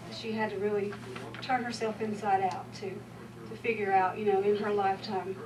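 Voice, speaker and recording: A woman with a Southern US accent talks at a moderate pace, with audible room echo and noticeable background noise. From US South. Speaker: former student speaking at memorial. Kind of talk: memorial tribute speech. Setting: memorial service. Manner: halting.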